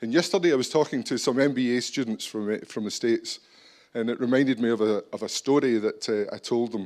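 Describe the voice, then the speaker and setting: In a very clean recording with a silent background, a man with a Scottish accent talks at a moderate pace and a medium pitch. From Scotland. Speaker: business executive. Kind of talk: conference talk.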